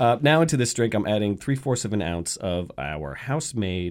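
At a moderate pace, a man with a fairly low pitch and vocal fry swings his pitch very widely. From US South, Atlanta. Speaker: bartender and mixologist. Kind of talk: radio interview with cocktail demonstration. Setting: radio studio.

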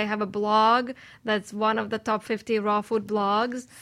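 At a moderate pace, a woman talks with monotone, flat intonation in a very clean recording with a silent background. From Russia (St. Petersburg). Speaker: raw food chef. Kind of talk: panel discussion. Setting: radio studio.

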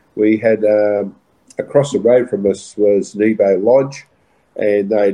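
A man is speaking. He has an Australian accent. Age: 60s. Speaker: retiring racehorse trainer. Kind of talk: interview. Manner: halting, many fillers.

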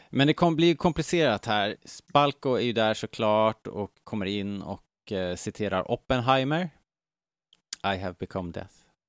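Over a silent background in a very clean recording, a man with an ordinary speaking voice talks at medium pitch and a moderate pace, his intonation lively and the sound dry and close with no echo. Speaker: podcast host. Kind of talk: casual chat.

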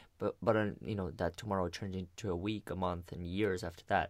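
On a very clean recording with a silent background, a man with a fairly low pitch and ordinary pitch variation speaks at a fairly quick pace. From abroad, came to the US at twelve. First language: not English. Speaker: podcast host. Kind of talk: casual interview.

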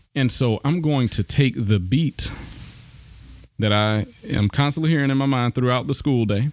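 Keeping his loudness very even, a man with a Southern US accent talks at medium pitch with ordinary pitch variation. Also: moderate pace, dry, close sound with no echo. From US South, south Alabama. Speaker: pastor and apologetics teacher. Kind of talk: casual chat.

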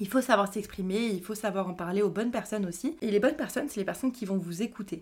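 A woman with a normal speaking voice talks at medium pitch and a fairly quick pace, with ordinary pitch variation, on a very clean recording with a silent background. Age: 20s. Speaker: podcast host, mental health professional. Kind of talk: personal monologue podcast. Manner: casual, many fillers. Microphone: new microphone.

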